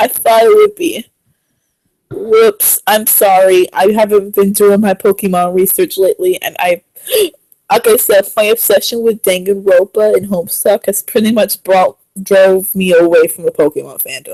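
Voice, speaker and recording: A woman at a moderate pace, in a dry, close sound with no echo. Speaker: stream co-host. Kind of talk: casual chat.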